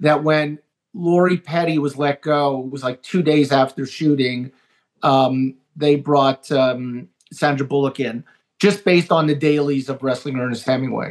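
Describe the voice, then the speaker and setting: At a fairly slow pace, a man with fairly high pitch and fairly even intonation talks in an unremarkable speaking voice. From Canada. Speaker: TV writer and producer. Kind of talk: casual interview chat.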